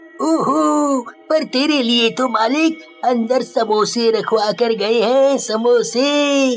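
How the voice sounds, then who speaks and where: A man's extremely high, cartoonish character voice at a very slow pace, with clear music in the background. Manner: casual, familiar.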